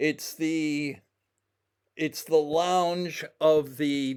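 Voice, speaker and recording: The recording is very clean, with a silent background. Intonation stays fairly even. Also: man. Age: 70s. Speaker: independent codebreaker / video creator. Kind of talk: casual explanatory walk-through. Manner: halting, many fillers and restarts.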